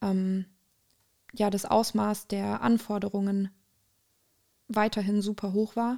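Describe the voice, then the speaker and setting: The voice has a dark, mellow tone and a monotone, flat intonation. The recording is very clean, with a silent background. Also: woman. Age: 20s. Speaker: student activist. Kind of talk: interview.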